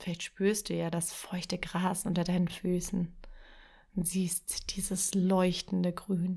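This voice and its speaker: Very slowly, a woman talks at a medium pitch, somewhat breathy. Her intonation stays monotone and flat. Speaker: podcast host and writing coach. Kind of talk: guided meditation. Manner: slow, soft, calm and soothing, with long pauses; gentle, dreamy, lulling imagery.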